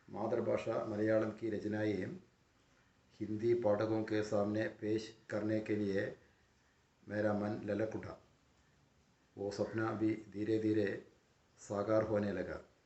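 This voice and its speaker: Audible room echo surrounds a man speaking in a monotone, flat intonation with long, frequent pauses. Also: fairly low pitch for a man. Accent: Malayalam. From Kerala, India. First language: Malayalam (speaking Hindi). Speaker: professor. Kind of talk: lecture. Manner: formal.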